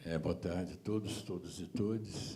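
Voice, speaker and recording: A man talks at a very slow pace in a dark, mellow tone with vocal fry, and audible room echo can be heard. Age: 70s. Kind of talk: seminar panel talk.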